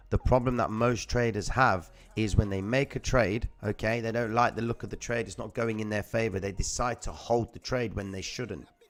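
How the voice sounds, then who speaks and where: Music plays in the background as a man talks at a moderate pace. His pitch is fairly low, and his intonation is fairly even. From London, England (Cypriot Greek family). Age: 30s. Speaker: crypto trading streamer. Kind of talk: live stream chart commentary. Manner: casual.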